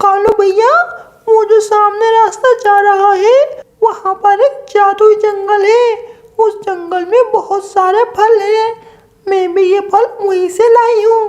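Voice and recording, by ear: In a cartoonish character voice, a woman speaks at an extremely high pitch with monotone, flat intonation and very even loudness. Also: fairly slow pace.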